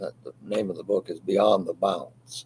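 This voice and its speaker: A man speaks at a very slow pace with light background noise behind him. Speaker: Bible study leader. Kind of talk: Bible study discussion. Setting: video call. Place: home room.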